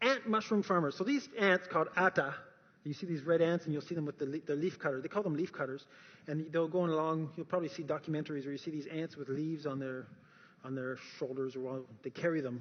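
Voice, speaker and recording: This man has a Canadian accent and a fairly high pitch with ordinary pitch variation. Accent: noticeable Canadian. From Canada. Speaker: speaker on science and faith. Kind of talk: talk to an audience. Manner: animated.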